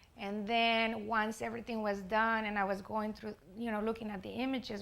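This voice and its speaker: At a moderate pace, this woman talks in a fairly high register. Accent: Spanish. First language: Spanish. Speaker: artist. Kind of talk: presentation. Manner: halting.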